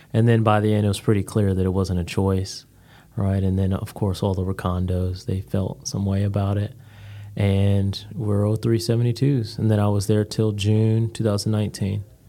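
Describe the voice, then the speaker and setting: In a very clean recording with a silent background, a man with an American accent speaks at a moderate pace in a fairly low, dark, mellow voice with monotone, flat intonation. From Connecticut. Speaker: real estate broker, Marine veteran. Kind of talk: casual interview chat. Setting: studio. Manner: flat tone, even rate of speech.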